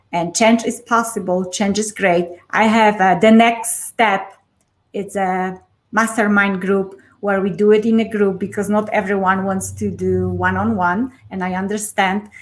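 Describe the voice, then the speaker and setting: A woman speaks fairly slowly in a Polish accent, her medium pitch held monotone and flat. The recording is very clean with a silent background. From Poland. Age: 40s. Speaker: life coach. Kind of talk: interview.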